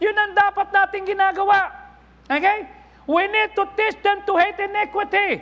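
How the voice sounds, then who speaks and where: A man's raised, projected voice at an extremely high pitch, bright and sharp in tone, monotone and flat, at a moderate pace. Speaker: pastor. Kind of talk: sermon. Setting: church. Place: church. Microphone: lapel.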